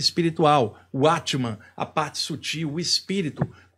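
In a quiet setting, this man's pitch moves up and down in an ordinary way. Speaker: spiritual teacher. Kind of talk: spiritual talk to camera. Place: home room. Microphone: studio mic.

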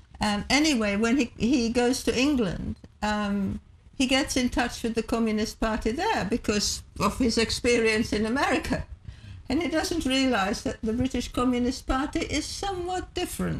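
At a moderate pace, a woman speaks with a high pitch. Her intonation is lively. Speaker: interview guest. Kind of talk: interview answer. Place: studio.

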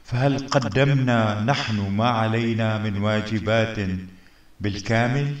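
In a room with audible echo, a man talks at a very slow pace with fairly even intonation. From Syria. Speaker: community figure addressing citizens. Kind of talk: public address to community. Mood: earnest, appealing, heartfelt. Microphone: webcam.

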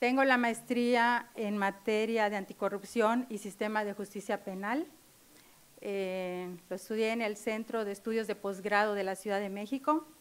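A woman with a fairly high pitch talks at a fairly slow pace, her intonation fairly even. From Mexico, Chetumal, Quintana Roo; Quintana Roo, Mexico. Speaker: lawyer, judicial candidate; candidate. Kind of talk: formal interview before legislative committee. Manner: hesitant, many fillers. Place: meeting room. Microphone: podium.

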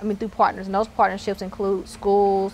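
A woman talks with a Southern US accent over light background noise. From Mississippi, Terry near Jackson; Mississippi. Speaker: tech entrepreneur. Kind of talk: interview. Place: hall. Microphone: lapel.

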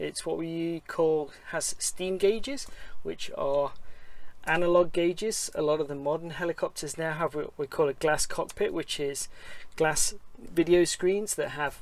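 The man's high-pitched voice moves at a moderate pace, and the sound is dry with no echo. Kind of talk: tutorial. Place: plane. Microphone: phone near.

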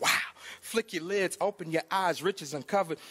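With an American accent, a man speaks in a high pitch at a moderate pace. His pitch moves in an ordinary way. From Georgia, US South. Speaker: gospel rapper. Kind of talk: casual interview. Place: hall. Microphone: handheld.

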